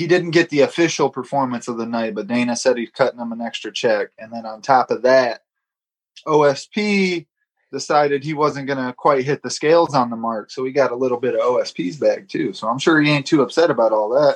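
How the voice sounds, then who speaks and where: With an unremarkable speaking voice, a man at a fairly high pitch talks at a fairly quick pace, using ordinary pitch variation and big swings in loudness, in a dry, close sound with no echo. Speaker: podcast co-host. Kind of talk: casual chat.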